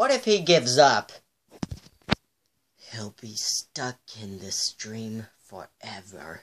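A woman speaks very slowly in a very deep, low voice over noticeable background noise. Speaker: gamer doing a skit. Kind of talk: role-play voices over gameplay. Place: home room. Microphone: phone near.

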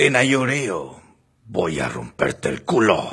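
A raspy put-on character voice from a man, medium-pitched, at a very slow pace. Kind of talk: comic parody dubbing. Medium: fan dub. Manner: sly, mock-romantic.

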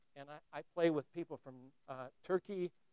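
A man's fairly high voice in an American accent, with fairly even intonation and a quiet background. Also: dry sound with no echo. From United States. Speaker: philosopher and lecturer; lecturer. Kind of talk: lecture. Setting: stage with audience. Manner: conversational with many fillers. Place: classroom.

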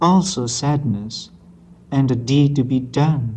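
A somewhat breathy man with a Burmese accent talks at a fairly high pitch with ordinary pitch variation. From Myanmar. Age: young. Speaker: poet. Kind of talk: poetry reading. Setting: old analog tape recording. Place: hall. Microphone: old recording.

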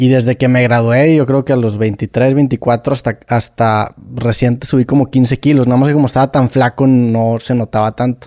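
A man with a Mexican accent speaks at a medium pitch in a dark, mellow tone, his intonation monotone and flat. The pace is moderate with hardly any pauses, the loudness very even, and the sound dry and close with no echo. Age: 30s. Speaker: podcaster. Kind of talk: casual chat.

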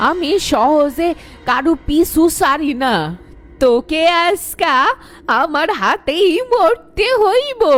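A raspy, high-pitched put-on character voice at a very slow pace, with music in the background. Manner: menacing, threatening.

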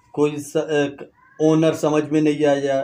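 A dark, mellow tone carries a fairly slow delivery in a Baloch accent. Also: man. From Balochistan, Pakistan. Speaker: YouTuber. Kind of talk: educational vlog. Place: home room. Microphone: lapel.

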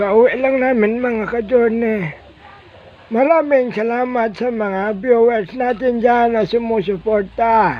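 A man talks very slowly at an extremely high pitch, his intonation fairly even. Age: old. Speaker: vlogger. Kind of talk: casual vlog talk.

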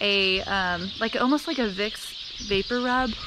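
Through noticeable background noise, a woman speaks with ordinary pitch variation. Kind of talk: casual vlog chat. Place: garden. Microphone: phone near.

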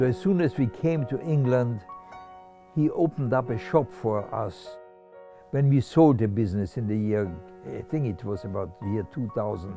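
Clear music plays in the background of a dry, echo-free recording. A man talks at a moderate pace with lively intonation. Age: 80s+. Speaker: Holocaust survivor. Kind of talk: interview answer. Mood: warm, animated storytelling. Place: home room.

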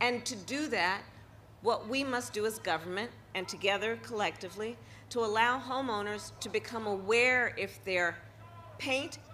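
A woman's voice at a fairly slow pace, with ordinary pitch variation and light background noise. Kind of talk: public speech. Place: street. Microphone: podium.

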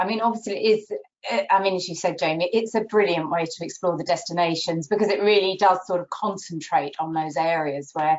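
At a fairly quick pace, a woman with a fairly low pitch speaks with ordinary pitch variation. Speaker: travel journalist guest. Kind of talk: interview answer. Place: home room. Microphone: video call.

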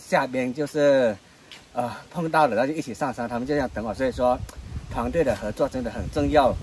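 Big swings in loudness, ordinary pitch variation, light background noise and a dry sound with no echo. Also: man. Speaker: travel vlogger. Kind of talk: casual vlog chat. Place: forest. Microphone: camera far.

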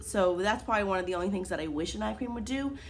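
Over light background noise, a woman speaks with vocal fry and ordinary pitch variation. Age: 20s. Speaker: beauty vlogger. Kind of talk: product review. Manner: casual, hesitant with fillers. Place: home room. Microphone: phone near.

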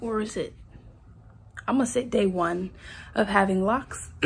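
Somewhat breathy and with lively intonation, a woman speaks against light background noise. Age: young. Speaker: lifestyle vlogger. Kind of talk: casual vlog chat. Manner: casual, rambling with fillers. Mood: upbeat, excited. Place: home room. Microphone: phone near.

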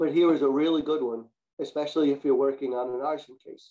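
Speaking at a fairly quick pace, a man has a medium pitch and a dark, mellow tone.

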